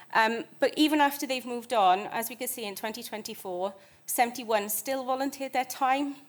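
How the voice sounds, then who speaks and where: A high-pitched woman with a British accent at a fairly quick pace, in a very clean recording with a silent background. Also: ordinary pitch variation. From United Kingdom. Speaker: conservation charity manager. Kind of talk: conference presentation. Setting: stage with audience. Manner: fast.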